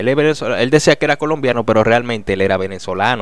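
Recorded dry with no echo over a quiet background, a man talks at a fairly quick pace with ordinary pitch variation. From Dominican Republic. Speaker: news commentary youtuber. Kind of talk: casual news commentary. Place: studio. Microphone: studio mic.

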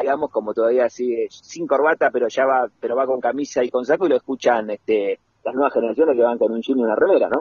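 Here a man with an unremarkable speaking voice talks at medium pitch and a fairly quick pace, using ordinary pitch variation. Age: 40s. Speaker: writer and radio artistic director. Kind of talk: radio interview.

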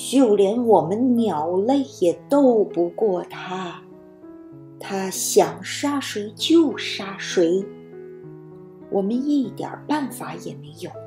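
A put-on character voice, female-sounding and hoarse, at medium pitch and a very slow pace, with clear music in the background. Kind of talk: children's bedtime story animal voice. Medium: read story. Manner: serious, heavy, mournful.

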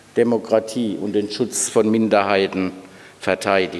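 A fairly slow pace with fairly even intonation. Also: man. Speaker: university president. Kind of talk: welcome speech at an event. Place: hall. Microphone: podium.

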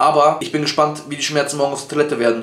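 Over faint background music and audible room echo, a man speaks with fairly even intonation. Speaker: content creator. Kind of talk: casual vlog chat. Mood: in pain, groaning. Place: home room. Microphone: earbuds.

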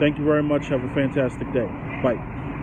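A man's fairly high-pitched voice at a fairly quick pace, over noticeable background noise. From grew up in a poor urban neighborhood. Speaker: vlogger on business and self-improvement; vlogger on business. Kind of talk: casual monologue to camera. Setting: recorded on a cell phone. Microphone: inexpensive cell phone mic; phone near.

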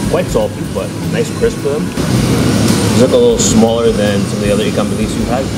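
Music plays in the background as a man speaks. His pace is moderate, with ordinary pitch variation. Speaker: food vlogger. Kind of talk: casual food review vlog. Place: cafe. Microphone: phone near.

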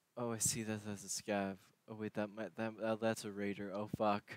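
This is a man speaking with a fairly low pitch. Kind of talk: casual gaming chat.

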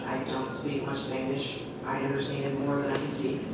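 There is loud background noise behind a woman's voice. The room echo is audible. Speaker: storyteller. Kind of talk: live storytelling. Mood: humorous, relaxed. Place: stage.

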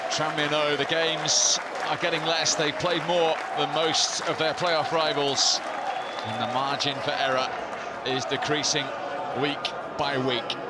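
Dry sound with no echo, loud background noise, and a fairly slow pace. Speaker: football commentator. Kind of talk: live football play-by-play commentary. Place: stadium.

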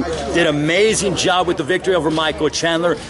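Music plays in the background as a man speaks in an energetic tone. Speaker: ring announcer and color commentator. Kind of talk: fight commentary interview. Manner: energetic, smooth. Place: hall. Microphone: phone near.

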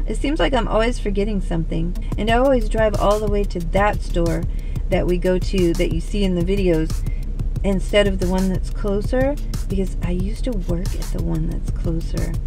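A woman's voice comes through dry with no echo while clear music plays in the background. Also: moderate pace. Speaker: vlogger. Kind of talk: casual vlog chat. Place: car. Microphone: phone near.

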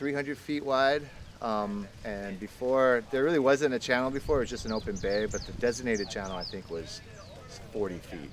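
At a moderate pace, a man talks over light background noise, the sound dry with no echo. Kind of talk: interview answer. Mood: upbeat, enthusiastic. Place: waterside.

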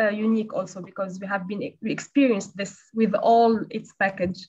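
A woman talks at a fairly quick pace in a somewhat breathy voice. The background is quiet. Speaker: webinar moderator. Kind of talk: panel discussion moderation. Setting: video call. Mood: calm, friendly.

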